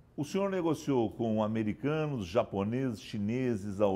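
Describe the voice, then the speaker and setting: Speaking at a moderate pace, a man uses lively intonation in a dark, mellow tone. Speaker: journalist. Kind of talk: TV interview questions. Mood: polite, respectful. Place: office.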